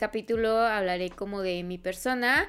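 Her speech has fairly even intonation, and this woman's voice sits at medium pitch. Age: 20s. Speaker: podcast host. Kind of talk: personal monologue. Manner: halting.

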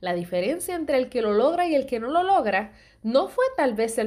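Very wide pitch swings from a woman with a dark, mellow tone at a moderate pace, on a very clean recording with a silent background. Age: 30s. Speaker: podcast host. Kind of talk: motivational devotional monologue.

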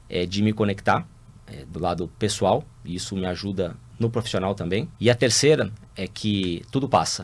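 At a moderate pace, a man with a fairly low pitch talks in an ordinary speaking voice with ordinary pitch variation. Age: 50s. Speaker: business executive. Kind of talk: interview monologue.

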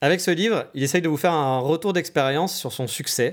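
In a very clean recording with a silent background, a man talks at a fairly quick pace in a normal speaking voice, fairly high in pitch with ordinary pitch variation. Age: 30s. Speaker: podcaster, digital nomad. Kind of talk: solo podcast monologue. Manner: casual.

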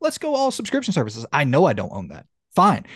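Fairly quick speech in a Southern US accent, with a quiet background and a dry, close sound with no echo. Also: man. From US South. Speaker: video game podcast host. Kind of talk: casual chat. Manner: halting.

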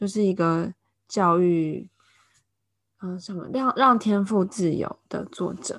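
Very slowly and with long, frequent pauses, a woman with a Taiwanese accent speaks at a medium pitch with ordinary pitch variation, in a very clean recording with a silent background. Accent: Taiwanese Mandarin. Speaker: podcast co-host, Chinese-speaking nanny. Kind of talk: casual chat.

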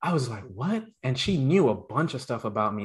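An unremarkable speaking voice belongs to a man with an American accent, who talks at a fairly quick pace with a fairly high pitch and lively intonation. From Brooklyn, New York (Canarsie), West Indian household. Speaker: podcast co-host, interviewed as guest. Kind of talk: casual interview chat.

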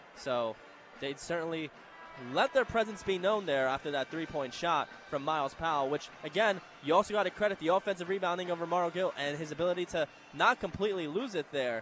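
A man talks at a fairly quick pace with a high pitch. Noticeable background noise can be heard. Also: ordinary pitch variation. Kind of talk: live commentary, color analysis. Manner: analytical, conversational, occasionally stumbling.

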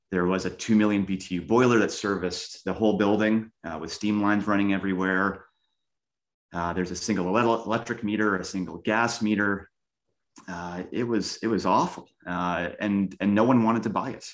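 With a Canadian accent and an unremarkable speaking voice, a man talks at a fairly quick pace in a fairly low pitch, his intonation fairly even. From Canada, Winnipeg. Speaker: real estate investor. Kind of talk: interview. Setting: call.

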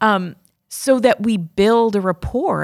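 A woman has a normal speaking voice with an American accent and ordinary pitch variation. She speaks at a fairly slow pace on a very clean recording with a silent background. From New York state and Connecticut. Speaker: former teacher, professional development trainer. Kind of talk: casual chat.

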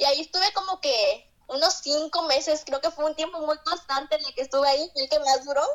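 The speech runs at a fairly quick pace with hardly any pauses and fairly even intonation. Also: woman, high pitch for a woman. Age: young. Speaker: content creator. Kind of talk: casual chat. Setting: remote call.

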